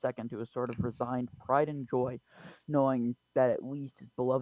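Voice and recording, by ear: Over a quiet background, the text is read aloud in a natural voice with fairly level intonation.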